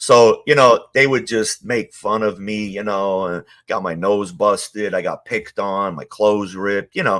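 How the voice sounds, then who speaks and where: In a New York accent, a man with a fairly low pitch speaks at a moderate pace with ordinary pitch variation and hardly any pauses, on a very clean recording with a silent background. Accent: New York (Queens). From US Northeast, Ridgewood, Queens, New York. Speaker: former mob associate. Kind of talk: interview testimony. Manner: casual, many fillers.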